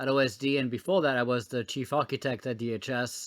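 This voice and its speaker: The recording is very clean, with a silent background. A man with a French accent speaks at medium pitch and a fairly quick pace. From France. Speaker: former government technology officer. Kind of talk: podcast interview. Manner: frequent hesitations and fillers.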